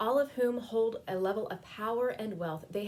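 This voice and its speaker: A woman with an American accent talks at a fairly slow pace against noticeable background noise. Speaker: spiritual program director giving a civic sermon. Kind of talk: sermon-style talk on civic themes.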